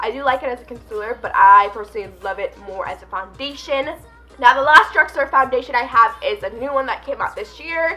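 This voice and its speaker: Lively intonation in an American accent at a fairly quick pace, with music in the background. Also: woman. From New York City. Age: 20s. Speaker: beauty YouTuber. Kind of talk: casual talk to camera.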